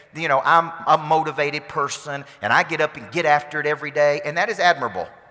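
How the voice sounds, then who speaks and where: Here a man speaks at a moderate pace with a fairly high pitch. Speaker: motivational speaker and business coach. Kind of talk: conference keynote speech to an audience. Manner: intense, energetic, motivational.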